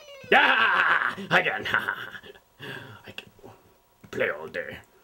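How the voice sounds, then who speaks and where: Someone uses a cartoonish character voice at a very slow pace, with long, frequent pauses. Light background noise can be heard. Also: man. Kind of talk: comic villain monologue. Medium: puppet show. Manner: theatrical, smug and self-important. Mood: childish glee at game.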